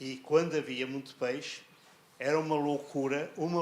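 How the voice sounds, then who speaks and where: A man with a fairly high pitch speaks in a monotone, flat intonation. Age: 80s+. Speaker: elderly local interviewee. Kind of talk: reminiscing interview conversation.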